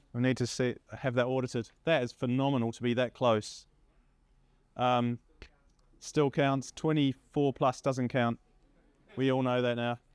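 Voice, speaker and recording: With long, frequent pauses, a man speaks at a medium pitch and a fairly slow pace in a monotone, flat intonation, the sound dry and close with no echo. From Essex, England. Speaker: mountain running event organiser. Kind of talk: awards speech. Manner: casual, halting with fillers.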